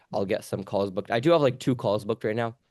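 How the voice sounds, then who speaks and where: With a New York accent, a man speaks at a fairly low pitch. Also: quiet background. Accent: New York American. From New York City. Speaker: language teacher. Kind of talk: casual chat. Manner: fast.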